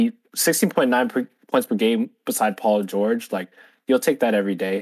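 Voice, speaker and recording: A man with an ordinary speaking voice talks at medium pitch and a moderate pace, with ordinary pitch variation and a dry, close sound with no echo. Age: 20s. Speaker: podcast co-host. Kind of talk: casual chat.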